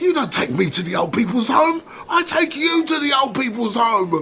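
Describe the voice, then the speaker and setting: A man speaks at a moderate pace in a put-on character voice, raised and projected and pitched extremely high, with very wide pitch swings over clear background noise. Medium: audio drama. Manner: loud, argumentative.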